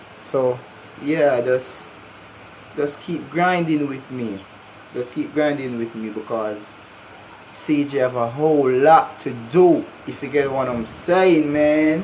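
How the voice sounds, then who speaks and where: A man at a very slow pace with long, frequent pauses, over noticeable background noise. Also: fairly high pitch for a man, ordinary pitch variation. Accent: Jamaican. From Jamaica. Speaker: YouTuber. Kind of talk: casual vlog. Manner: animated.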